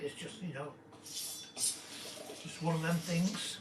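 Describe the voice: A croaky man with a bright, sharp tone speaks slowly at a fairly high pitch, and the room echo is audible.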